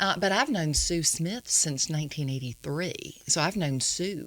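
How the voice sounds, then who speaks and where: An ordinary speaking voice with an American accent moves at a fairly slow pace with lively intonation. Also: woman. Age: 60s. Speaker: songwriter. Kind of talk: casual chat.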